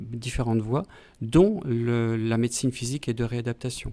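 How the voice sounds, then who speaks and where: A dark, mellow tone carries speech delivered at a moderate pace. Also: man. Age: 60s. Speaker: pediatrician and physiology professor. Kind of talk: interview. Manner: halting, many hesitations.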